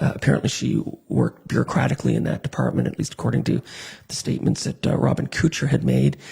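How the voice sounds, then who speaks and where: Over noticeable background noise, a soft-spoken man talks at a very fast pace. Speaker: radio call-in show host. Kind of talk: live call-in show news recap. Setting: live online broadcast.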